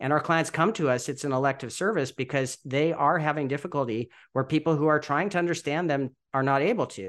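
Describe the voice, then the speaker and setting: In a plain, everyday voice, a man talks at a fairly quick pace with hardly any pauses, his fairly high pitch showing ordinary variation over a quiet background. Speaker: accent modification specialist. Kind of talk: interview.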